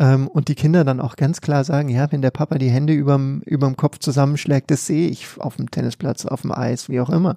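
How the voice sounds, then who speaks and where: Fairly quick and with hardly any pauses, a man speaks at a fairly high pitch with fairly even intonation. His tone is dark and mellow, and the sound is dry and close with no echo. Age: 30s. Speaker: sports psychologist. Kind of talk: interview.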